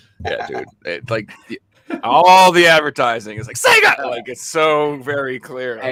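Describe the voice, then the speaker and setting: Speaking at a fairly slow pace with a Boston accent, a man's voice rises and falls sharply in loudness. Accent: Boston American. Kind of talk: casual, conversational.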